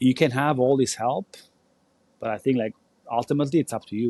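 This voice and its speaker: With an Albanian accent, a man speaks at a fairly quick pace in a dark, mellow tone. The sound is dry and close, with no echo. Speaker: former Olympic volleyball player and coach. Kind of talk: podcast interview. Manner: animated.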